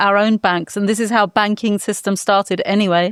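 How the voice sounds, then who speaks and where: A woman with a British accent speaks at a medium pitch and moderate pace, with fairly even intonation. The very clean recording has a silent background and a dry, close sound with no echo. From England. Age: 60s. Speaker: climate lawyer and activist. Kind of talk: panel discussion. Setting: in person in Berlin.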